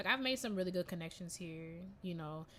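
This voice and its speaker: This woman's tone is bright and sharp, her pitch medium. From Jamaica. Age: 20s. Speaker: classical violist and music student, podcast co-host. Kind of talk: casual chat. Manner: animated.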